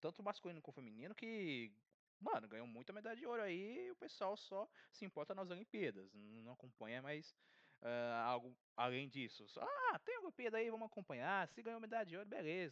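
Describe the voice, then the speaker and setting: A man's high-pitched voice with very wide pitch swings at a fairly quick pace, dry and close with no echo. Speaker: podcast host. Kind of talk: casual chat.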